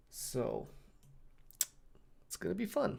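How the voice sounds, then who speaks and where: A man is speaking. His voice has vocal fry. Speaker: streamer and video editor. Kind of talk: casual live stream chat. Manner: halting.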